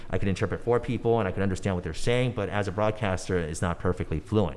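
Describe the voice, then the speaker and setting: A man with a Californian accent talks at a very fast pace. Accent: Californian American English. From Los Angeles, San Fernando Valley. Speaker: former pop singer and news anchor turned entrepreneur. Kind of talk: podcast interview. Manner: casual, animated.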